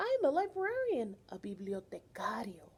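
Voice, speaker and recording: A put-on character voice from a woman, high in pitch, at a moderate pace. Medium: read story.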